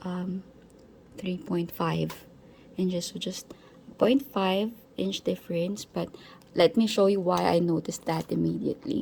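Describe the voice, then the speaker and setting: At a fairly slow pace, a woman speaks with a non-native accent. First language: not English. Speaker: planner reviewer. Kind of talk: product comparison tutorial. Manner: halting, many fillers; casual.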